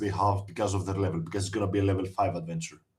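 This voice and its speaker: A somewhat breathy male voice. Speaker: game designer. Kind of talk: interview.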